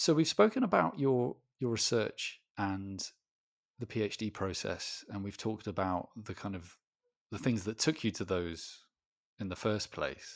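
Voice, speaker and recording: Over a silent background in a very clean recording, a man speaks at a fairly slow pace. He has an ordinary speaking voice, a fairly low pitch and ordinary pitch variation. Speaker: podcast host. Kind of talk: interview conversation.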